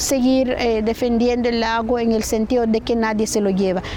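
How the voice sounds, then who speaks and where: A high-pitched woman's voice at a moderate pace, with music in the background. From western Guatemala, Lake Atitlán. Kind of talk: interview. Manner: halting.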